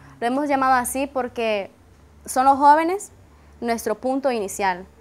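A woman speaks in a high pitch. Her pitch varies an ordinary amount. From Nicaragua. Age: 20s. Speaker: university student. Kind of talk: interview testimony. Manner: hesitant, frequent fillers. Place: garden. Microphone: lapel.

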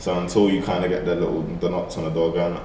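Over light background noise and audible room echo, a man talks at a very fast pace. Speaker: musician and artist. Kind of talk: casual interview.

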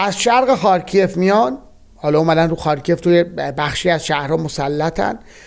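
The loudness stays very even throughout, set against a quiet background. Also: man, high pitch for a man, ordinary pitch variation, moderate pace. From Iran, Bostanabad (East Azerbaijan); Iran. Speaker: political analyst. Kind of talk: solo political commentary. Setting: recording while traveling, varying locations. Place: home room.

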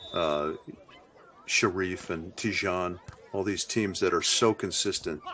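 A man speaks at a very slow pace with a very deep, low pitch and fairly even intonation. Long, frequent pauses break his speech over noticeable background noise. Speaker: color commentator. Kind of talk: analytical sports commentary. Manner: measured, conversational with fillers and repetitions.

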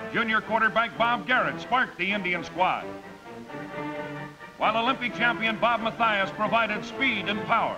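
With clear music in the background, a man speaks at a high pitch in a raised, projected voice. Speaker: sports broadcaster. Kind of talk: sports newsreel voice-over. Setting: vintage 1950s film audio. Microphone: old recording.

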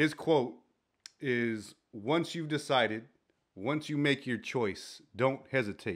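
The background stays quiet while a man talks. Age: 40s. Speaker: co-host and fellow podcaster. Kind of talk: casual chat. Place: studio. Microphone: studio mic.

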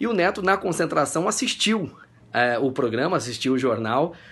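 A man's lively intonation carries through his moderately paced speech. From Brazil. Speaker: TV presenter. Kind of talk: recorded video message. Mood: warm, cheerful, smiling. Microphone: phone near.

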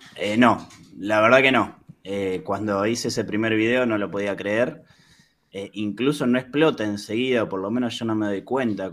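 Fairly low in pitch, a man talks at a moderate pace with fairly even intonation. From Argentina. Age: 30s. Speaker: YouTuber. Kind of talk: interview. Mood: calm, reflective. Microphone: video call.

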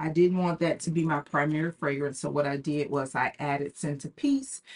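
A woman speaks in a very deep, low voice. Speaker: fragrance reviewer YouTuber. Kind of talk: casual product review vlog. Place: home room.

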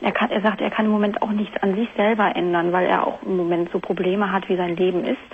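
Amid light background noise, a woman talks at a very fast pace in a monotone, flat intonation with very even loudness and hardly any pauses. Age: 20s. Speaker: caller. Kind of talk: phone-in confession. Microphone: phone line.

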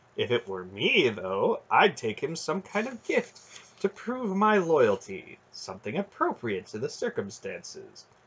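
A man uses a put-on character voice at a medium pitch with very wide pitch swings. The tone is fairly bright with a slightly husky edge, and the pace is fairly slow.

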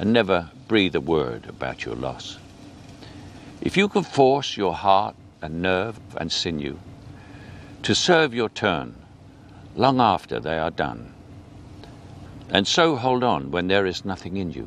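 A man with an English accent speaks at a fairly slow pace in a very deep, low pitch, with vocal fry and very wide pitch swings. He leaves long, frequent pauses, and light background noise is present. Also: dry sound with no echo. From England. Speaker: actor. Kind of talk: poetry reading. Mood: calm, earnest, measured. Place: garden.

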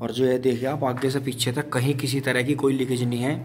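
A man speaks in a monotone, flat intonation. Light background noise sits underneath. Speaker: farm vlogger showing a tractor. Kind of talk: casual walkaround commentary. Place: farm machine. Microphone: phone near.

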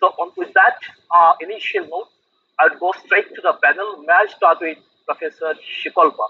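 The voice belongs to a man. He talks at neither a fast nor a slow rate. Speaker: panel moderator. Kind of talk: panel discussion. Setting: video call. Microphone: video call.

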